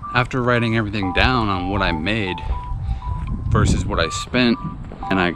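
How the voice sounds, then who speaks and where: Spoken at a moderate pace with ordinary pitch variation, the voice sounds dry with no echo while music plays in the background. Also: man. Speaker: reseller vlogger. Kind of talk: casual vlog chat. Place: street. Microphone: phone near.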